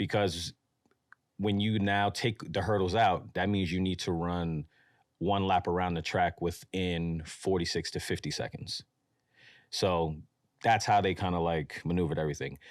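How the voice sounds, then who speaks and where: A man's very deep, low voice at a moderate pace, fairly even in intonation, on a very clean recording with a silent background. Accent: New York. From New York, Mount Vernon. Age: 30s. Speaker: streetwear brand founder. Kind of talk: podcast interview. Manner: casual.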